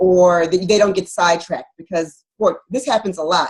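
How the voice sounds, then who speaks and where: The speaker is a woman. She sounds somewhat breathy. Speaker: physician and wellness author. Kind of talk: interview. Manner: fast.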